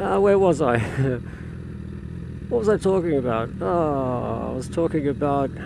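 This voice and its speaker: A man with a fairly high voice speaks at a moderate pace with lively intonation. He leaves long, frequent pauses, and background noise is noticeable. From Australia. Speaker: motorcycle vlogger. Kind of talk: casual vlog monologue while riding. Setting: riding a motorcycle in traffic. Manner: hesitant, repetitive fillers.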